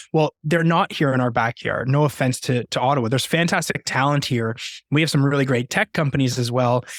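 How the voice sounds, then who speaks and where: A man with an American accent speaks at a fairly high pitch with ordinary pitch variation. His loudness stays very even, and the sound is dry and close with no echo. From Canada. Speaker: company CEO. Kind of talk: podcast interview.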